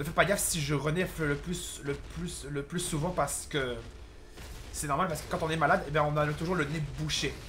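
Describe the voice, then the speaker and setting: Flat, monotone intonation at a fairly quick pace comes through with audible room echo. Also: man, fairly high pitch for a man. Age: 20s. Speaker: gaming youtuber. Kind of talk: gameplay commentary. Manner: halting.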